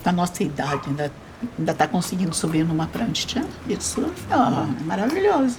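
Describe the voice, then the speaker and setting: Noticeable background noise runs behind a woman speaking at a moderate pace. Her fairly low voice makes very wide pitch swings. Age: 70s. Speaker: documentary interviewee. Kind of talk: documentary interview.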